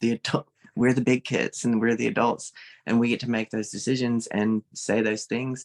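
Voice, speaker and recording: Medium-pitched speech from a man with a Southern US accent, a moderate pace, and a dry, close sound with no echo. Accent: Southern US, mild. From Mississippi, US South. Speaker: social media creator and art teacher. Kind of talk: casual interview chat. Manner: animated.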